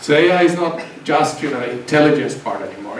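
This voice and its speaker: Noticeable background noise and audible room echo surround a man speaking with a Swedish accent. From southern Finland, Swedish-speaking community. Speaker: university researcher, invited speaker. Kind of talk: seminar talk. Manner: halting, many repeated words and fillers.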